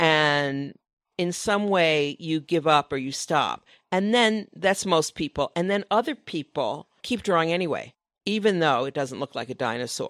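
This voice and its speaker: In a very clean recording with a silent background, a woman speaks in a normal speaking voice, fairly low-pitched and fairly slow, with lively intonation and a dry, close sound with no echo. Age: 60s. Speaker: author, designer and illustrator. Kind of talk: casual chat. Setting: live podcast recording at a design conference.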